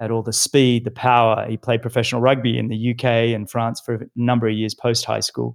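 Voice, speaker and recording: At a fairly quick pace and medium pitch, a man with an Australian accent speaks with monotone, flat intonation on a very clean recording with a silent background, dry and close with no echo. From Australia, Sydney. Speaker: retired pro triathlete and podcast host. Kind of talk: casual interview chat.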